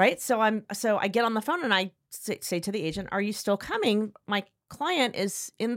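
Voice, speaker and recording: A woman talks at a moderate pace with a fairly high pitch and ordinary pitch variation, animated in tone and with hardly any pauses. The sound is dry and close, with no echo. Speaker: podcast host. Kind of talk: casual chat between friends. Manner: animated, chatty.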